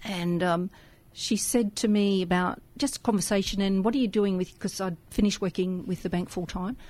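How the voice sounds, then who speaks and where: Somewhat breathy, a woman speaks with an Australian accent and fairly even intonation. The recording is very clean, with a silent background. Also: medium pitch for a woman, moderate pace. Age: 60s. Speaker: radio volunteer. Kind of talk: casual chat. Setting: studio.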